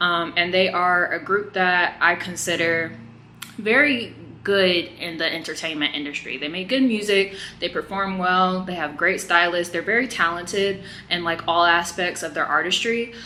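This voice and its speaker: A woman's plain, everyday voice, fairly low in pitch, at a moderate pace with ordinary pitch variation. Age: 20s. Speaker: YouTube reaction commentator. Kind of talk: casual vlog commentary. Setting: hotel room. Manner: casual with frequent fillers.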